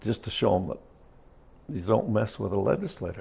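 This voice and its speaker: An American accent marks this man's fairly low voice, dark and mellow in tone with vocal fry. His pitch moves in an ordinary way. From Carbon County, Utah. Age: 70s. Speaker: former miner and state legislator. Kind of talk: oral history interview answer. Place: home room. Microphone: lapel.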